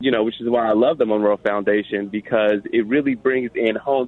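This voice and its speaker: Talking at a fairly quick pace with an American accent, a man uses an unremarkable speaking voice in a medium pitch with fairly even intonation. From Chicago. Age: 20s. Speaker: nonprofit accountant. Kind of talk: interview.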